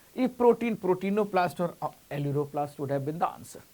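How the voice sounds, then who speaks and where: Talking at a fairly quick pace, a man with an Indian accent uses a high pitch and lively intonation. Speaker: coaching teacher. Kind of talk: lecture. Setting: online class.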